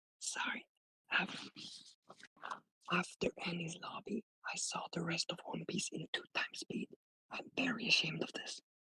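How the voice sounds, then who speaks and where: Whispering at a moderate pace, with long, frequent pauses. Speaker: caller. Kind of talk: casual chat. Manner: quiet, hard to understand.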